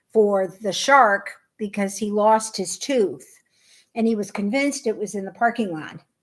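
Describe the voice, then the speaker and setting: A medium-pitched woman's voice with an American accent, ordinary pitch variation, and a moderate pace, on a very clean recording with a silent background. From US Midwest, Chicago. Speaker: knitting podcast co-host. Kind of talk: casual chat. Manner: animated.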